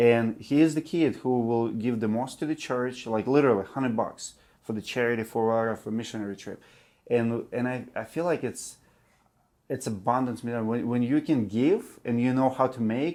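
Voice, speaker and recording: A man's dark, mellow voice with a non-native accent, medium in pitch with ordinary pitch variation, at a moderate pace on a very clean recording with a silent background. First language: not English. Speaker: roofing business owner and channel host. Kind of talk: casual interview chat.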